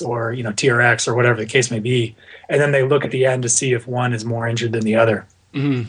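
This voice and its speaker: A man with a medium pitch talks at a fairly quick pace in a somewhat breathy voice with monotone, flat intonation. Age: 30s. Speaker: endurance coach. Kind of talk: interview. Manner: halting.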